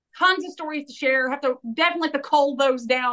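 A woman's raised, projected voice in an East Tennessee accent, bright and sharp, animated and energetic, at a very fast pace with ordinary pitch variation. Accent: US Southern (East Tennessee). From Tennessee, Knoxville. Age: 40s. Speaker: real estate broker. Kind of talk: interview. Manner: animated, energetic.

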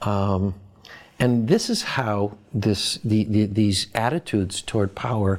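This man has an unremarkable speaking voice with an American accent. His pitch is fairly low and his intonation fairly even. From Boston, US. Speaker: professor. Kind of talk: interview.

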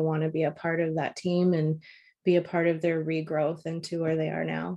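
Against a quiet background, a woman with a Canadian accent speaks at a moderate pace in a dark, mellow tone with monotone, flat intonation. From Toronto, Ontario, Canada. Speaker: print sales account executive. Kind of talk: interview.

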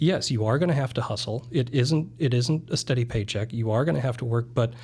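Somewhat breathy, with a dark, mellow tone, a man with an American accent talks at a fairly quick pace in a medium pitch with ordinary pitch variation. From US Midwest, eastern South Dakota. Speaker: real estate broker. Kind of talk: casual interview.

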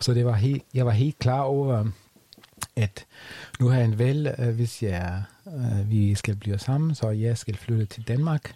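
Speaking with a German accent, a man has a medium pitch and a dark, mellow, somewhat breathy tone. His pace is very slow, with ordinary pitch variation. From Germany. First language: German (speaking Danish). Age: 40s. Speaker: podcast guest, expat. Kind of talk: casual interview. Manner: halting.

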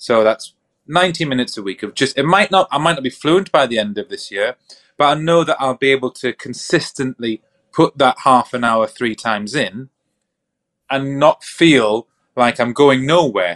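A man with a normal speaking voice talks at medium pitch and a moderate pace. The sound is dry and close with no echo, and his intonation is lively. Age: 30s. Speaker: mental health professional and podcast co-host. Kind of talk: casual chat.

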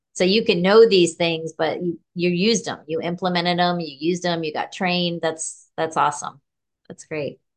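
A woman speaks at a moderate pace in an ordinary speaking voice, her fairly low pitch held to fairly even intonation. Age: 50s. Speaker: podcast host. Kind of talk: interview.

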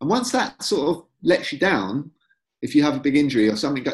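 A man talks very fast at a fairly high pitch with vocal fry. His pitch swings very widely. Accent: North London. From North London, England. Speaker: author. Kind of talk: casual chat.

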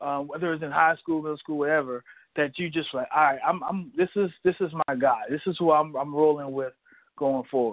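With an unremarkable speaking voice, a man talks at a fairly quick pace, his pitch fairly high and his intonation fairly even. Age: 20s. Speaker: sports podcast host. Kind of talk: casual interview.

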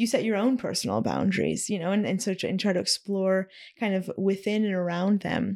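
Speaking at a fairly quick pace, a woman with a medium pitch, ordinary pitch variation and vocal fry comes through on a very clean recording with a silent background. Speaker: podcast guest. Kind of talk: casual interview conversation. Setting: in person recording.

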